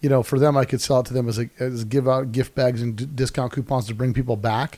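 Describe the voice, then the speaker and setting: Fairly even in intonation, a man talks at a very fast pace with a medium pitch. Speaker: podcast host. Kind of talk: casual chat. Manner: loud.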